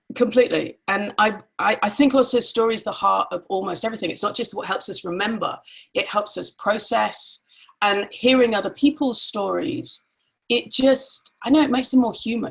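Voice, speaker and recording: With an English accent, a woman talks at a moderate pace. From grew up in Nigeria and Pakistan, Irish family. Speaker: mastermind facilitator. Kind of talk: casual chat.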